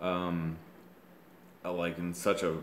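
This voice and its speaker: Audible room echo fills the space. A man speaks at a very deep, low pitch with monotone, flat intonation. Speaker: vlogger telling personal story. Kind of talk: personal monologue. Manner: slow; halting.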